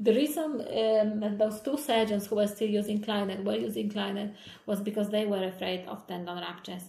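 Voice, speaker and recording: A woman of medium pitch speaks at a fairly quick pace with ordinary pitch variation, amid audible room echo and noticeable background noise. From Poland. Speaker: hand surgeon. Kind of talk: interview. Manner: halting.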